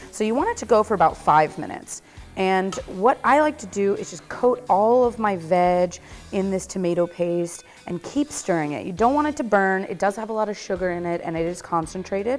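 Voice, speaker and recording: Lively intonation in an American accent, at a moderate pace with big swings in loudness, over music in the background. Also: woman. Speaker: cooking show host. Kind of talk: cooking tutorial. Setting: test kitchen. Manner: casual, chatty.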